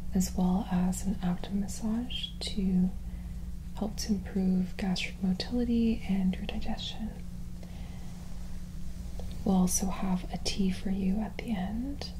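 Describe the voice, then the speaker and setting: The voice is soft-spoken, moving at a fairly slow pace with long, frequent pauses. Noticeable background noise sits behind it. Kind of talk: calm explanation to client. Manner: soft, hushed ASMR speaking voice.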